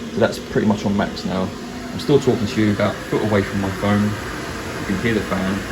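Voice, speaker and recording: A man with a British accent speaks quickly at a fairly low pitch, in a monotone, flat intonation with hardly any pauses. Noticeable background noise and audible room echo fill the recording. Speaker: maker and craft video creator. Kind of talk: tutorial. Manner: hesitant, many fillers; slightly raised voice over noise.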